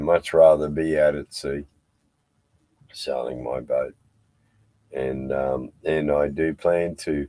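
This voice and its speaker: A man with a strong Australian accent speaks at a very slow pace in a very deep, low pitch. His tone is dark and mellow, and his intonation is fairly even. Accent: broad Australian. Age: 60s. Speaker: live stream host, sailor. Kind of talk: casual chat. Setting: aboard a boat tied to a jetty.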